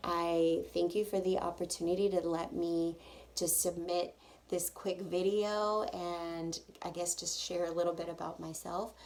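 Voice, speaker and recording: Monotone, flat intonation marks this woman's voice. She speaks at a fairly slow pace. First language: Spanish. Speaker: hair salon owner and stylist. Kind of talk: audition video monologue. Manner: casual, with frequent fillers.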